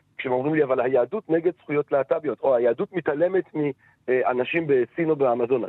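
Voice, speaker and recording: A man talks at a fairly quick pace. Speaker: philosophy lecturer. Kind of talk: interview. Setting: phone call.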